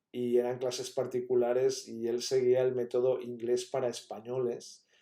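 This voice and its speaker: A man speaks with a Catalan accent in a dark, mellow tone at medium pitch. His delivery is monotone and flat at a moderate pace. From Catalonia, Spain. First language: Catalan (speaking Spanish). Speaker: university professor. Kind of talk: lecture. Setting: pre-recorded talk.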